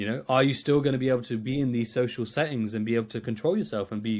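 Speaking with an East Midlands accent, a man talks at a very fast pace. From England, Nottingham. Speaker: trader and coach. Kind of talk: podcast interview.

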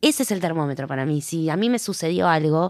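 A woman with an ordinary pitch variation speaks in a Rioplatense accent on a very clean recording with a silent background. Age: 40s. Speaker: actress and playwright. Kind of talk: interview. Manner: halting.

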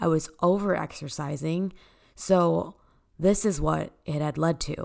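A woman with an American accent uses an ordinary speaking voice, fairly low in pitch, at a fairly slow pace. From Texas, Dallas. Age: 20s. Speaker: podcaster, spin instructor. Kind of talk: personal testimony.

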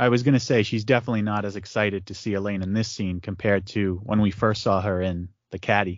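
A man with an unremarkable speaking voice, fairly low in pitch, fairly quick in pace, and fairly even in intonation. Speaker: podcast host. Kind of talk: casual chat.

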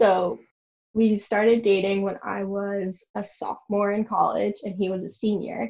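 Somewhat breathy and at a fairly slow pace, a woman with an American accent talks at a medium pitch. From New York. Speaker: podcast guest. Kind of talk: casual chat.

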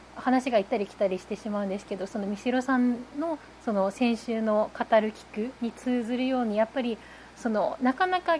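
This woman has a plain, everyday voice, pitched fairly high, with ordinary pitch variation. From Japan, Nagasaki. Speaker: newspaper reporter. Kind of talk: casual chat.

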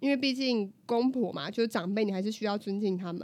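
A woman with a normal speaking voice talks at a fairly quick pace at medium pitch with ordinary pitch variation. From southern Taiwan. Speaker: podcast co-host. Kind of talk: casual chat.

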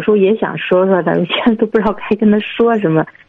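A woman talks at a fairly quick pace. Her pitch is medium with ordinary variation. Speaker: caller, parent asking for advice. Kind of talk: phone-in advice call. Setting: phone call. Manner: halting.

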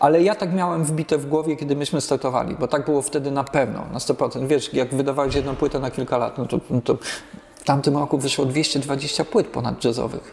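A man talks at a fairly high pitch with fairly even intonation. Noticeable background noise is present. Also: fairly quick pace. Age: 50s. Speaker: jazz musician. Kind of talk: casual chat.

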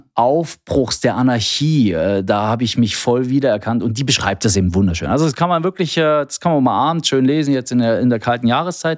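An unremarkable speaking voice with lively intonation at a fairly quick pace. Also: man, very clean recording, silent background. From East Germany. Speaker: health IT sales manager. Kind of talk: casual interview. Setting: studio.

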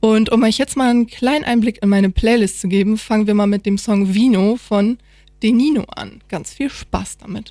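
This woman's voice has a dark, mellow tone. Her pitch sits fairly high. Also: fairly even intonation, moderate pace. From northern Germany, Oldenburg. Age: 20s. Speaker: student radio presenter. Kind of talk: casual chat; radio presenting.

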